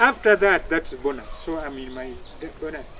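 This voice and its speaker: Speech moves at a moderate pace with ordinary pitch variation. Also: man. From Uganda. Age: 70s. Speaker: retired army officer. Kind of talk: interview. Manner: halting.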